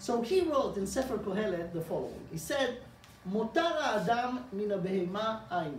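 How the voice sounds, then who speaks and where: A man with an Israeli accent speaks in a high voice with very wide pitch swings, over noticeable background noise and audible room echo. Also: moderate pace. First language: Hebrew. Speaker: rabbi. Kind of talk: lecture. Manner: halting.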